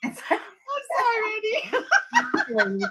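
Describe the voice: In a put-on character voice, a woman speaks fairly slowly, squeaky and at an extremely high pitch.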